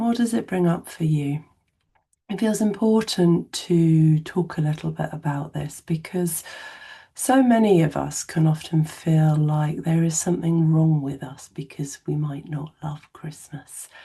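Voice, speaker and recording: In an English accent, a woman speaks at a fairly slow pace with a very deep, low pitch and ordinary pitch variation. Her tone is dark and mellow, and somewhat breathy. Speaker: therapist. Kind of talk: educational talk to camera.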